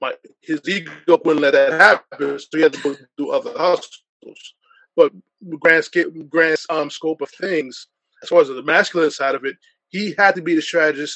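With an American accent, a man speaks in a plain, everyday voice at a fairly high pitch and moderate pace, showing ordinary pitch variation and big swings in loudness. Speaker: sports podcaster. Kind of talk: panel discussion.

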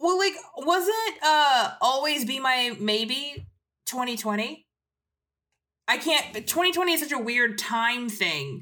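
A woman's high, raised and projected voice with a bright, sharp tone, an American accent, a very slow pace and very wide pitch swings. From US South, North Carolina. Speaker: TV journalist. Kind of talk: casual chat.

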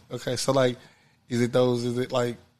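A man with a medium-pitched voice speaks at a moderate pace. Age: 30s. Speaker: podcast host. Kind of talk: casual chat.

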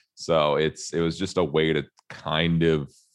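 Here a man speaks with a very deep, low pitch. Vocal fry runs through his voice. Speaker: guitarist and YouTuber. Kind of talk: casual chat. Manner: soft-spoken.

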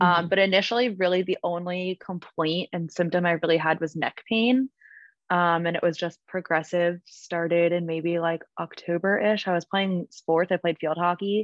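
With a plain, everyday voice, a woman speaks at a moderate pace and fairly low pitch, her intonation fairly even. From New Jersey. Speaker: travel nurse, cancer survivor. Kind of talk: casual interview, personal story.

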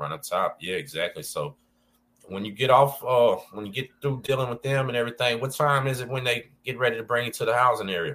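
A man's bright, sharp, medium-pitched voice with vocal fry and an American accent, fairly quick, with ordinary pitch variation. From Texas, Galveston. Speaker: podcast host, former prisoner. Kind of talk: casual interview chat.

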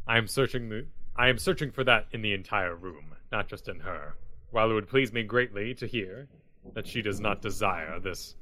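Using a put-on character voice, a man speaks at a moderate pace and medium pitch. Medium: actual play. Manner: formal, stiff diction.

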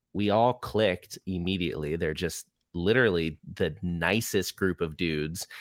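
In an American accent, a man speaks at a very deep, low pitch, the sound dry and close with no echo. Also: ordinary pitch variation, moderate pace, very clean recording, silent background. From Florida (Orlando). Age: 30s. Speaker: touring rock musician. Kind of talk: casual chat.

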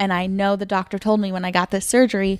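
Recorded dry and close with no echo, a woman with a Michigan accent speaks at a medium pitch and a fairly quick pace. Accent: northern US (Michigan). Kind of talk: casual chat.

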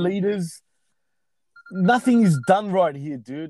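In an Australian accent, a man speaks with a high pitch and a dark, mellow tone. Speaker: DJ. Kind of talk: casual chat.

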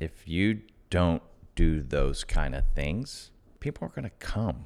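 In a very clean recording with a silent background, a man with a very deep, low voice and vocal fry talks at a very slow pace with very wide pitch swings. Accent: American. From US South, Atlanta, Georgia. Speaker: real estate investor. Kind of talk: casual interview.

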